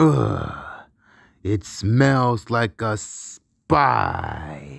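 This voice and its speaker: A man puts on a character voice. It is raspy and fairly low. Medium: voice reel. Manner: loud, gruff, bossy.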